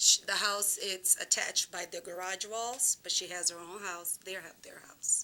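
A woman's medium-pitched voice, bright and sharp in tone, with big swings in loudness, a moderate pace and hardly any pauses. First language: not English. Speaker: resident speaking at public hearing. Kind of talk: public comment at town meeting. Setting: town commission meeting.

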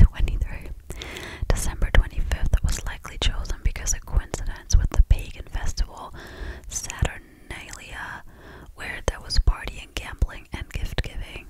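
A woman whispers at a moderate pace. The sound is dry with no echo, and there is loud background noise. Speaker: content creator. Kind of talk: casual chat, reading Christmas facts. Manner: close-mic ASMR whisper. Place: home room. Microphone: studio mic.

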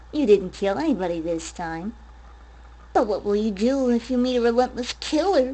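A woman is speaking at a moderate pace. Her pitch is fairly high. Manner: mocking, sinister.

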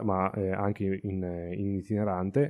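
A man's voice comes through at a fairly low pitch. The background is silent and the recording very clean. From Emilia-Romagna, Italy. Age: 30s. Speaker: astrophotographer. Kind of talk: interview. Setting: studio. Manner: halting.

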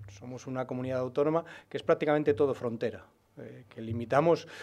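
Here a man speaks at a moderate pace. His fairly high pitch shows ordinary pitch variation. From Spain, Burgos (Castilla y León); Castilla y León, Spain. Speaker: regional party leader, politician; politician. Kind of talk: press conference. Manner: halting, many fillers and repetitions. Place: meeting room. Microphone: podium.

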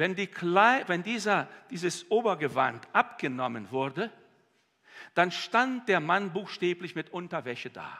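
High-pitched male voice, bright and sharp yet warm in tone, with very wide pitch swings, a fairly slow pace and a quiet background. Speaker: preacher. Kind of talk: sermon. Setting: church. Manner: warm, earnest, heartfelt preaching. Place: church. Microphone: headset.

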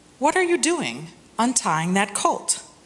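A woman speaks at a very slow pace. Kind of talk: scripture reading. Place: church. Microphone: podium.

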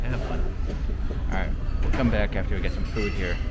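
Music plays in the background while a man speaks. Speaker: food vlogger. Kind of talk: casual vlog chat. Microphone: phone near.

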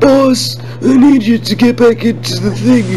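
Delivered at a moderate pace, a put-on character voice plays over clear background noise.

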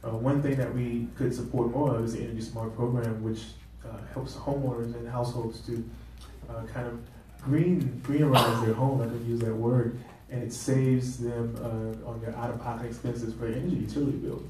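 With an American accent, a man speaks in a monotone, flat intonation amid audible room echo and light background noise. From US South. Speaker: political candidate; candidate. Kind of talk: candidates' forum. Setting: stage with audience. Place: meeting room. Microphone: camera far.

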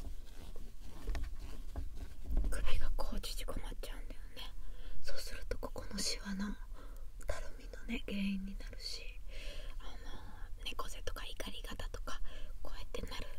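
Whispering and soft-spoken at a very slow pace, a woman comes through a dry sound with no echo over noticeable background noise. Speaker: massage creator. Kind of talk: soft-spoken casual tutorial. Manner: soft close-mic whisper, intimate. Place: booth. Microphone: earbuds.

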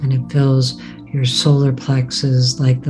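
Music runs in the background. A woman speaks at a very deep, low pitch. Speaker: Reiki meditation guide. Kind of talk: guided meditation. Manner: slow, soft-spoken.

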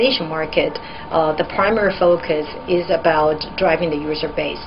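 Over noticeable background noise, a woman speaks at a moderate pace with a fairly low pitch and ordinary pitch variation. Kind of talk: interview answer. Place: office.

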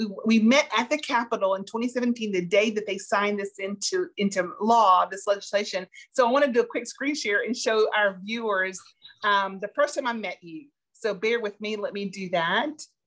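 Over a quiet background, a woman talks at a moderate pace in a fairly high pitch with ordinary pitch variation. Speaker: online show co-host. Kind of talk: interview show hosting. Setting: video call. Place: home room. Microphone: webcam.

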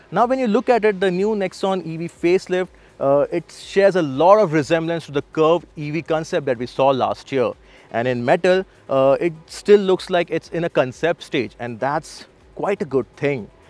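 Faint music plays in the background as a man speaks at a moderate pace and a high pitch, in a dry sound with no echo. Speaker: car reviewer. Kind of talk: review presentation. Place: waterside. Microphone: lapel.

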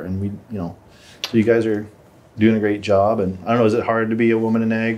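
A man talks at a fairly quick pace in a normal speaking voice. His pitch is fairly low. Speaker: podcast host. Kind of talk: casual chat. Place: studio. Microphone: studio mic.

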